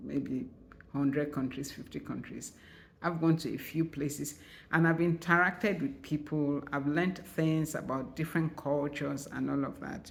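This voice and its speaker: Speaking at a moderate pace, a woman uses a very deep, low voice with vocal fry. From Nigeria. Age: 60s. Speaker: writer and vlogger. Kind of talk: channel introduction vlog. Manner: casual, conversational.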